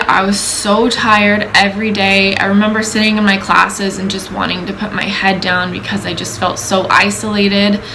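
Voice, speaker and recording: Amid noticeable background noise and audible room echo, a woman of medium pitch speaks at a moderate pace with monotone, flat intonation. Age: 20s. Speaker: vlogger sharing personal story. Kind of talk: personal testimony. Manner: casual, conversational with many fillers.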